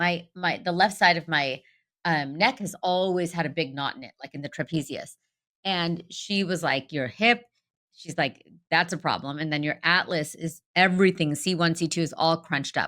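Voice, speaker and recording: A woman speaks with a fairly low pitch and ordinary pitch variation. Her loudness swings widely at a moderate pace. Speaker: dentist, podcast co-host. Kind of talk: casual chat. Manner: animated.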